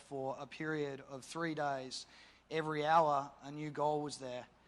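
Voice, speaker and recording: A man with an Australian accent speaks in a fairly high pitch with fairly even intonation. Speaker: campaign organiser. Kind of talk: panel discussion.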